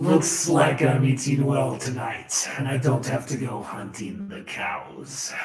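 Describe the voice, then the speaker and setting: A man uses a put-on character voice with a menacing tone. He talks at a fairly slow pace with hardly any pauses and slight echo. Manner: gloating, menacing.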